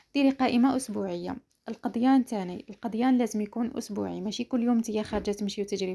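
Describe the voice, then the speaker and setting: A woman's fairly high voice with an Algerian accent, dark and mellow in tone, at a fairly quick pace with fairly even intonation. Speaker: lifestyle vlogger. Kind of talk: casual vlog talk to viewers.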